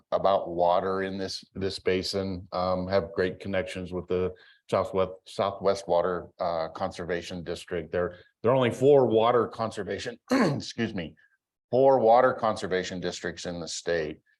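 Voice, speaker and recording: Over a quiet background, a man with an American accent uses an unremarkable speaking voice, fairly low in pitch, with ordinary pitch variation at a moderate pace. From Colorado, San Luis Valley. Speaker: state senator. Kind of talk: legislative update talk. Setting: in-person public event.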